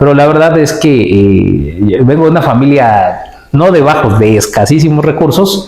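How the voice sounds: Medium-pitched and slightly mellow in tone, this man's voice moves at a moderate pace with lively intonation, and audible room echo surrounds it.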